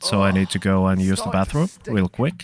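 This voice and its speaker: This speaker has a Finnish accent. The sound is dry and close with no echo, in a very clean recording with a silent background. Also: man. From Finland. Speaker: video game streamer. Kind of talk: casual live-stream chat. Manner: halting.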